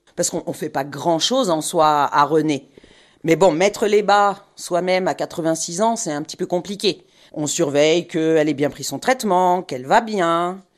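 Against a quiet background, a woman with a fairly low pitch speaks in an animated tone at a fairly slow pace, with ordinary pitch variation. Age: 50s. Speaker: home nurse. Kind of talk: on-location interview. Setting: in a car.

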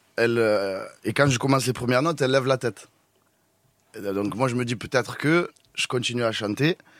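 A man's medium-pitched voice at a fairly quick pace, with ordinary pitch variation and long, frequent pauses. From Tunisian heritage. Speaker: opera singer. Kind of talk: casual chat.

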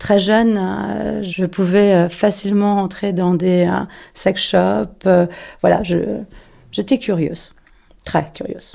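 The speaker talks at a very slow pace with long, frequent pauses. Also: woman. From Paris. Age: 40s. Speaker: interviewee sharing personal story. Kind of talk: personal testimony. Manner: halting, many hesitations.

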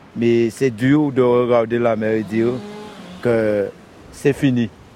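Over noticeable background noise, a man with a medium-pitched voice speaks very slowly with fairly even intonation. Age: 50s. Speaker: fisherman. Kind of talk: interview. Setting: outdoors.

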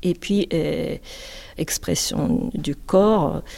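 In a Japanese accent, a woman speaks at a very slow pace with ordinary pitch variation. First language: Japanese (speaking French). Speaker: composer and butoh dancer. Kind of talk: interview. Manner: halting.

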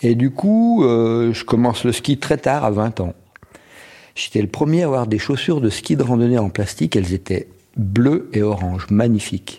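A man talks at a moderate pace with lively intonation and a medium pitch. His tone is dark and mellow, and his loudness stays very even. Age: 60s. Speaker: ski patroller. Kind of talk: interview testimony.

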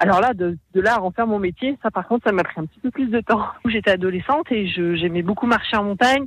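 A woman talks at a fairly quick pace and a medium pitch, with ordinary pitch variation. The sound is dry and close, with no echo. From Haute-Savoie, France. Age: 30s. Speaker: mountain guide and police rescuer. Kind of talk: radio interview. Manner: hesitant.

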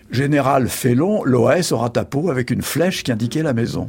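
Lively intonation marks this man's speech. His voice is somewhat breathy. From France, Charente. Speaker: journalist and essayist. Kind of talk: interview.

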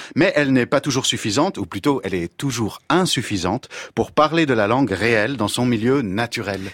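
Speaking at a moderate pace with lively intonation, a man has an unremarkable speaking voice at a medium pitch. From Belgium. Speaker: former French teacher, language columnist. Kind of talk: scripted radio column.

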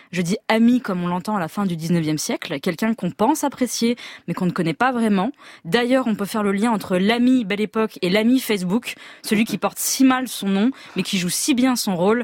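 A woman with an Auvergne accent speaks at a moderate pace and medium pitch. Her intonation is lively, and the sound is dry and close, with no echo. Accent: Clermont-Ferrand. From France, Auvergne (Clermont-Ferrand). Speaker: novelist, regular columnist. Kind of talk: scripted radio column.

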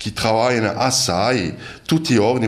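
A man talks over noticeable background noise. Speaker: village mayor. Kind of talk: prepared presentation. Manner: halting.

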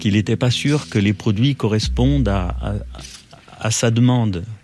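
Noticeable background noise surrounds a man with a fairly low pitch. His pitch swings very widely. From Loire, France (Roche-la-Molière). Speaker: former arms factory worker and trade unionist. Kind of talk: interview testimony. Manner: halting, with repetitions.

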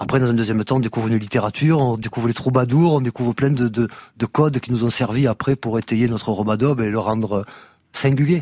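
In a very clean recording with a silent background and a dry, close sound with no echo, a man speaks very fast with a dark, mellow tone, fairly even intonation, and very even loudness. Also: medium pitch for a man. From Marseille, southern France. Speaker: reggae musician. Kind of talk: radio interview. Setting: radio studio.

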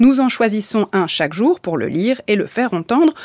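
A woman speaks in a plain, everyday voice with lively intonation. She keeps a moderate pace, and the sound is dry and close with no echo. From Bulgarian family background. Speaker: radio host. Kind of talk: radio interview.

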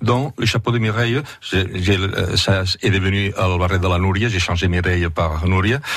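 A man speaks in a very deep, low pitch with ordinary pitch variation. His loudness stays very even, and his voice is somewhat breathy. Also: moderate pace. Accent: Catalan. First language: Catalan (speaking French). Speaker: singer and translator. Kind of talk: radio interview. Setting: studio. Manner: halting.

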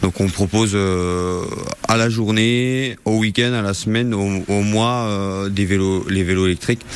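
Amid noticeable background noise, a man with a fairly low pitch speaks at a very slow pace with hardly any pauses. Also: fairly even intonation. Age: 20s. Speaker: bike shop owner. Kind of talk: interview. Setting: in a shop. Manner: halting.

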